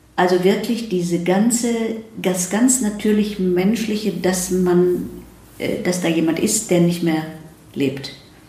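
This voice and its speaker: Over noticeable background noise and audible room echo, a woman speaks very slowly at a medium pitch with ordinary pitch variation. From Germany, Ruhr area. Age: 70s. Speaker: psychiatrist and psychotherapist. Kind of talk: interview conversation. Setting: in person in Zurich.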